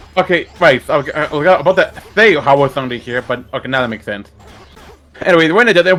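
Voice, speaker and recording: A man's voice with music in the background. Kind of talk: casual gaming commentary.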